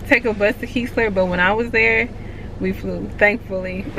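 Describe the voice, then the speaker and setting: A woman with an American accent talks, and noticeable background noise is present. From Texas, Houston. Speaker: air force service member, vlogger. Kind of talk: casual Q&A vlog. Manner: slow, drags words.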